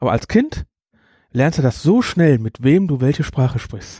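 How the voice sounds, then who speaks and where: Fairly high-pitched male speech, somewhat breathy, in a dark, mellow tone with lively intonation at a moderate pace, dry and close with no echo, in a very clean recording with a silent background. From Germany. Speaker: program staff moderator. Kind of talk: casual chat.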